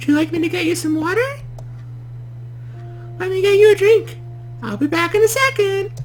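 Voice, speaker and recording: A man puts on a squeaky character voice at an extremely high pitch and a fairly quick pace. Clear music plays in the background. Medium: game stream. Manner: calm, reassuring.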